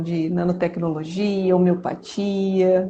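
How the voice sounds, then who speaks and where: A woman speaks in a flat, monotone way at a medium pitch. Noticeable background noise runs behind her. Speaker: pharmacy professor and researcher. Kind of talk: live-stream interview.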